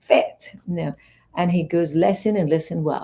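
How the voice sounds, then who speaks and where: A woman speaks at a moderate pace. She has a strong Iranian accent. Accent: Iranian accent, thick. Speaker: life coach and fitness trainer. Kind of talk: interview, personal story.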